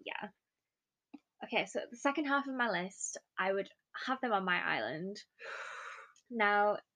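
A woman with a British accent, a fairly high pitch and a bright, sharp tone, at a moderate pace broken by long, frequent pauses. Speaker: trainee primary school teacher. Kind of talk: casual chat.

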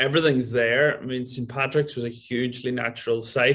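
A man with a Donegal accent speaks at a moderate pace in a medium pitch, his intonation flat and monotone. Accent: Donegal Irish. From Ireland, County Donegal. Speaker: golf resort owner. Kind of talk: casual interview.

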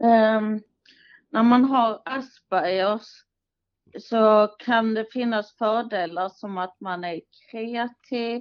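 Her pitch sits fairly high. The woman speaks very slowly. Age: 20s. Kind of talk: interview, partly prepared answers. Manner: hesitant, many filler sounds.

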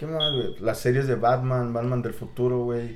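A man at medium pitch, with audible room echo. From Mexico City area. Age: 30s. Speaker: guest. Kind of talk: casual chat.

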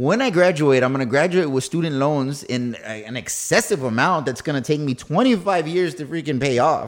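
Speaking at a fairly quick pace with hardly any pauses, this is a normal speaking voice with ordinary pitch variation. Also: man, fairly high pitch for a man. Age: 30s. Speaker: podcast host and new real estate agent. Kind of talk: casual chat. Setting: studio.

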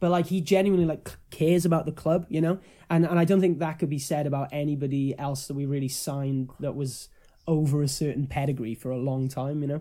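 Speaking at a very fast pace, a man with a fairly high pitch keeps a fairly even intonation and a dark, mellow tone. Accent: Welsh. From Wales. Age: young. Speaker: musician. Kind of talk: casual chat.

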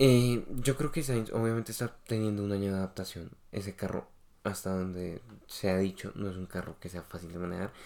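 Speaking at a fairly quick pace, a man uses a fairly low voice with a dark, mellow tone and ordinary pitch variation. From Colombia. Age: 20s. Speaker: podcast co-host. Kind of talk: casual chat.

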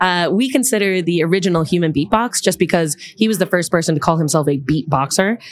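A woman with a New York accent speaks at a very fast pace in a fairly low pitch. Her intonation is lively, and her loudness stays very even. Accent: New York American. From US, Long Island, New York. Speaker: beatboxer and educator. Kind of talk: casual interview.

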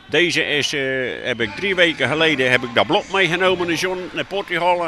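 A man's fairly high voice carries lively intonation at a moderate pace, with noticeable background noise behind him. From Netherlands, Zeeland. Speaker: moped enthusiast. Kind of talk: interview.

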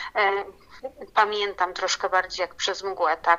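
A woman of medium pitch speaks with a monotone, flat intonation. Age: 30s. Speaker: new mother of a premature baby. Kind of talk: interview. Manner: halting, many fillers and repetitions.

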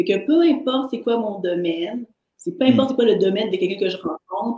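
This is a woman's somewhat breathy voice. Its pitch is fairly high. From Haitian heritage, French Canada. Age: 40s. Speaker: artist and entrepreneur. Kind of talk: interview.

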